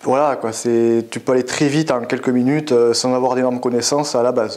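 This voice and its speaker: In a southwestern French accent, a man talks at a fairly quick pace and medium pitch with monotone, flat intonation, with audible room echo and noticeable background noise. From French Basque Country (Biarritz). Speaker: web developer. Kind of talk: interview. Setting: at a tech conference. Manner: hesitant, many fillers.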